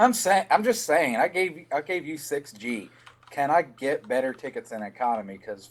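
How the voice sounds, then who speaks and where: Noticeable background noise sits behind a man with a Southern accent and a fairly high pitch who speaks at a moderate pace, with very wide pitch swings and big swings in loudness. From Tennessee, US South. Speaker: podcast co-host, gaming news. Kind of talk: casual news chat.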